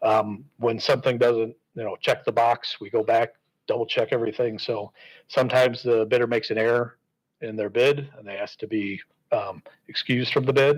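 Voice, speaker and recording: Fairly even intonation marks this man's medium-pitched voice, though his loudness swings widely. The recording is very clean, with a silent background. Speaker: school district facilities administrator. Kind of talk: public board meeting presentation. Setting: board meeting. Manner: fast.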